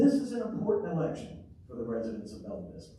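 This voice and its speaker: Noticeable background noise and audible room echo fill the recording. Through them, a man talks. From Arkansas (Pine Bluff). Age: 60s. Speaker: mayoral candidate, city councilor. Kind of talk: candidate forum statement.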